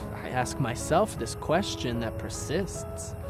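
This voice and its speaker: A man is speaking. Music plays in the background. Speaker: spoken word poet. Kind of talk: spoken word poetry performance.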